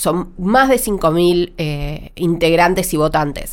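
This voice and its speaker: A woman's medium-pitched voice with ordinary pitch variation, in a Rioplatense accent. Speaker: TV critic and podcast co-host. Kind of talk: casual chat.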